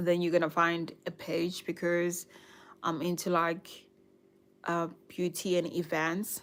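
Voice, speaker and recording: Speaking at a very slow pace, a woman with a slight South African accent keeps a monotone, flat intonation at a fairly low pitch. The recording is very clean, with a silent background. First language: Nguni (Zulu/Swati). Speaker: YouTuber, lifestyle and budgeting vlogger. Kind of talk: casual livestream chat. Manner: hesitant, many fillers.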